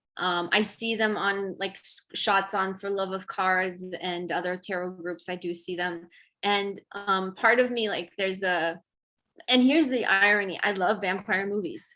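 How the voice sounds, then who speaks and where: Bright, sharp tone with a Romanian accent, fairly even intonation and a fairly slow pace. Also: woman, medium pitch for a woman. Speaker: tarot artist. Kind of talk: casual chat. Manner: halting.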